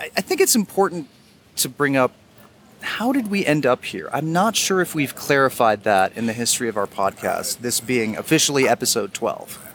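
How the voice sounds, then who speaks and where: At a moderate pace, a man speaks in a fairly high pitch with very wide pitch swings. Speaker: podcast host. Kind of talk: casual chat. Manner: talkative.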